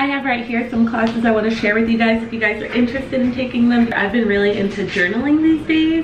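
A woman speaks at a fairly quick pace with ordinary pitch variation. Noticeable background noise is present. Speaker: vlogger. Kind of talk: casual vlog chat, sponsor read. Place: kitchen. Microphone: camera far.

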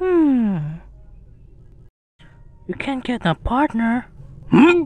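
A female-sounding, put-on character voice sits high in pitch and swings very widely up and down. The pace is very slow. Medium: dub.

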